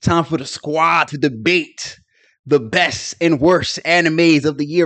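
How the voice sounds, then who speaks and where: Against a quiet background, a man with a fairly high pitch speaks in an animated tone at a fairly slow pace, with ordinary pitch variation. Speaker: anime podcast co-host. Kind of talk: casual chat. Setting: video call. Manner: loud.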